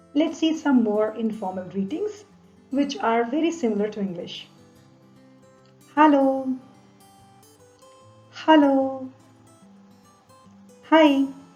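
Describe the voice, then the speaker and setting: Over music in the background, a woman with a German accent speaks very slowly at a high pitch, her intonation lively and her pauses long and frequent. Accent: non-native German pronunciation. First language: not German. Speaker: German language teacher. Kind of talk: language lesson narration.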